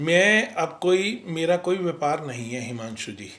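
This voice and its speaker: A man with a fairly high voice talks in a lively, up-and-down way while noticeable noise fills the background. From Ghaziabad, India, Punjabi family. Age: 60s. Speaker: retired businessman, community leader. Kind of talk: interview.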